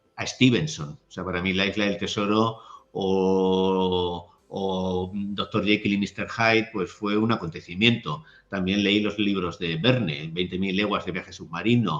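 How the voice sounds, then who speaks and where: This is a normal speaking voice at a fairly slow pace. Its intonation stays fairly even. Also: man, fairly low pitch for a man. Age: 60s. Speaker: writer and literary critic. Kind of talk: interview conversation.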